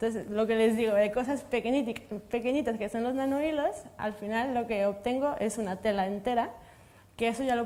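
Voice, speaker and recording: Fairly quick and fairly high-pitched, a woman speaks with a Mexican accent. Her tone is dark and mellow, her intonation fairly even. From Mexico. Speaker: materials science researcher. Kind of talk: panel discussion.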